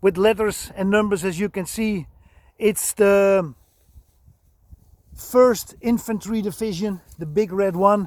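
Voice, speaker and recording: With a Dutch accent, a man speaks at a high pitch and a very slow pace, with long, frequent pauses. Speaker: vehicle restorer and enthusiast. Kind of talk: video walkaround. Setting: outdoors. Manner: halting.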